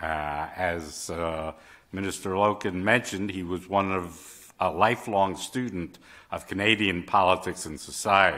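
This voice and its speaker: His voice sits very deep and low. The man talks at a moderate speed. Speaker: journal editor and moderator. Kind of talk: event moderation. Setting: stage with audience. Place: hall. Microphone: podium.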